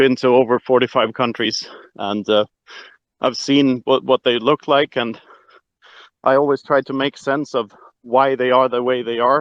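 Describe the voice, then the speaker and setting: A man speaks with a Swedish accent in a monotone, flat way. He leaves long, frequent pauses. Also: medium pitch for a man, moderate pace. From Sweden. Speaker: Bitcoin author. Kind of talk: casual chat. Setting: online audio room. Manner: hesitant, many filler words.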